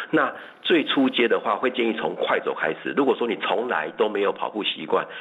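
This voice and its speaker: At a moderate pace, a man speaks with a Taiwanese accent. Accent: Taiwanese Mandarin. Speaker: running coach. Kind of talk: radio interview.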